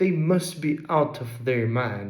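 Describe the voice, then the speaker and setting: Audible room echo around a somewhat breathy man at a fairly slow pace, with ordinary pitch variation. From England, Derbyshire. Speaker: vlogger. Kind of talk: personal essay narration.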